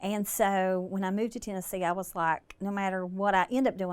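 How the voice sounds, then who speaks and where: At a moderate pace, a woman with an Appalachian accent speaks in a medium pitch on a very clean recording with a silent background. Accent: Appalachian Southern. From US South, southern West Virginia. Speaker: breast cancer survivor and charity founder. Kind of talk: casual interview.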